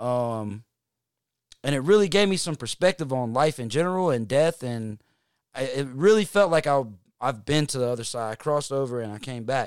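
With a Southern US accent, a man speaks at a moderate pace in a medium pitch. His intonation is lively, and the recording is very clean with a silent background. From North Carolina, Hickory. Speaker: musician. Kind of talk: casual chat.

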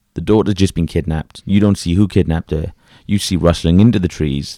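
With a British accent, a man speaks in a very deep, low pitch with ordinary variation and a dark, mellow tone. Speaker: podcast co-host. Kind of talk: casual chat.

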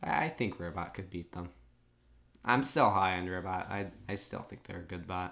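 A man's very deep, low voice with a bright, sharp tone and big swings in loudness. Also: ordinary pitch variation, moderate pace. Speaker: podcast host. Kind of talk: casual chat, live reaction recap.

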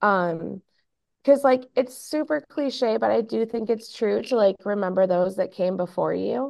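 This is a normal speaking voice with an American accent, moving at a fairly slow pace with lively intonation. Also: woman, medium pitch for a woman. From Minnesota, US Midwest. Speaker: sports team writer. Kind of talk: casual chat.

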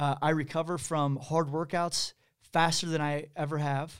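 Spoken at a moderate pace in a Midwestern American accent, this very clean recording has a silent background. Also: man. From Missouri, Kansas City. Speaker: podcast co-host. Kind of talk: casual chat. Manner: halting, many fillers.

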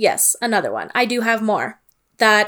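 A woman's fairly high voice with a Canadian accent. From Northern Ontario, Canada (Sault Ste. Marie). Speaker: podcast co-host. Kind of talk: casual chat. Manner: animated.

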